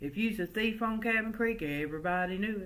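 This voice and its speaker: A woman with an American accent talks at a fairly quick pace with ordinary pitch variation. Audible room echo is present. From US South, early childhood in West Virginia coalfields. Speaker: oral history storyteller. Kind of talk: storytelling. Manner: folksy, conversational.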